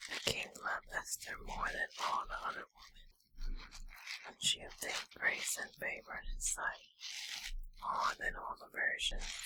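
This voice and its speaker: A woman whispers in a gentle, soothing tone at a fairly slow pace. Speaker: ASMR creator. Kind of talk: soft-spoken Bible reading for relaxation. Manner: soft, gentle, soothing.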